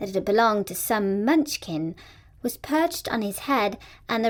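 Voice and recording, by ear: The speaker reads aloud in a natural voice.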